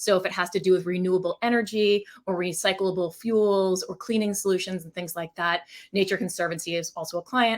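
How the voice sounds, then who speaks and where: This woman talks at a fairly quick pace and a medium pitch, her intonation fairly even but her loudness swinging widely, on a very clean recording with a silent background. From Maine, US. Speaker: packaging design agency founder. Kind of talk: interview. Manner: fast.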